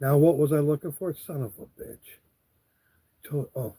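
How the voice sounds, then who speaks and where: Fairly even intonation carries a dark, mellow tone that is somewhat breathy. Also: man. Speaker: live streamer. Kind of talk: casual live stream chat. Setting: live stream. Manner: slow.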